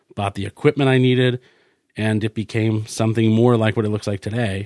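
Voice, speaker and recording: An unremarkable speaking voice from a man with an American accent, medium in pitch and fairly quick, with fairly even intonation and a dry, close sound with no echo. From rural New Hampshire, US. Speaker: podcast studio owner. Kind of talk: casual interview chat. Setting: podcast studio.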